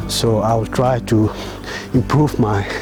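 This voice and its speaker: Noticeable background noise runs under the voice. The pitch varies in an ordinary way. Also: man. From Meghalaya, India (Khasi). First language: Khasi. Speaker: vlogger. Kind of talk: casual vlog talk. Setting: outdoors on a morning walk.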